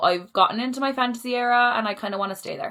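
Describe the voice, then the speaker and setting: A woman speaks with a Cork accent at a very fast pace. Her pitch varies in an ordinary way. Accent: Cork Irish. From Ireland, Cork. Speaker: book vlogger. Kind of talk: casual chat. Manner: casual, rambling filler words.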